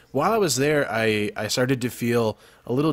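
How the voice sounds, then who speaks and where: A man's normal speaking voice with an American accent, medium pitch, moderate pace and ordinary pitch variation. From Texas. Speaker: youtuber podcast host. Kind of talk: casual chat.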